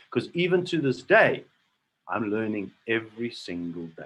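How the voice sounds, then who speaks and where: Enthusiastic in tone, a man talks at a moderate pace with very wide pitch swings. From South Africa, Cape Town. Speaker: network marketing presenter. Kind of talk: sales presentation. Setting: online video call.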